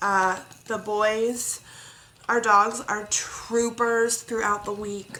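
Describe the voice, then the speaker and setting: A woman's fairly high voice with fairly even intonation, amid audible room echo and noticeable background noise. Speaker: crafting vlogger. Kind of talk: casual chat. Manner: chatty, rambling with fillers.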